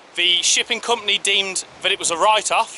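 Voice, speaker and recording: Light background noise accompanies a man speaking at a moderate pace in a high-pitched voice. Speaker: travel vlogger. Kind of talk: casual vlog chat. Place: beach. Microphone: phone near.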